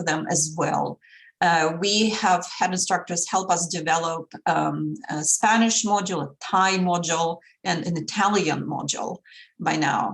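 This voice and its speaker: Speaking at a moderate pace with a Russian accent, a woman uses a fairly low pitch and ordinary pitch variation. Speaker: language instructor and module developer. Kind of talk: podcast interview.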